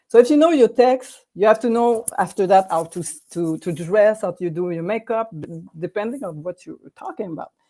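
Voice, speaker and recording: In a French accent, a woman speaks with a dark, mellow tone and hardly any pauses. Her loudness swings widely. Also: medium pitch for a woman, lively intonation, moderate pace. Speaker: video coach for authors and businesses. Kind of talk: online workshop presentation. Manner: halting, many repetitions and fillers.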